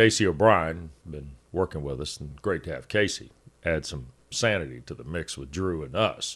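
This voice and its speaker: A man with a very deep, low voice and vocal fry talks at a moderate pace. His pitch varies in an ordinary way, and the background is quiet. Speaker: sports radio host. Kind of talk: casual sports talk show banter. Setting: studio, streamed show.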